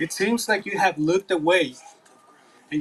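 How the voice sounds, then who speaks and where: At a moderate pace, a man speaks high for a man with fairly even intonation. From Mexico. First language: Spanish. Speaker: school board candidate. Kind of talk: public comment at town hall. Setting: outdoor park town hall meeting.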